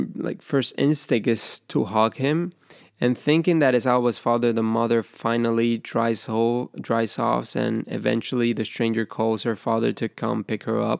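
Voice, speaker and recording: At a fairly slow pace, a man with a Spanish accent talks at a medium pitch with ordinary pitch variation, in a very clean, dry, close recording with no echo and a silent background. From Ecuador, Guayaquil. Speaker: film podcaster. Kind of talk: scripted narration.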